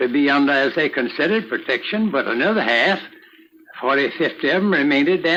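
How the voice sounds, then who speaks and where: A man with a Southern US accent talks at a fairly quick pace. His intonation is lively, and there is noticeable background noise. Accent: Southern American. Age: 80s+. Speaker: Civil War veteran. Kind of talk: recorded oral history reminiscence.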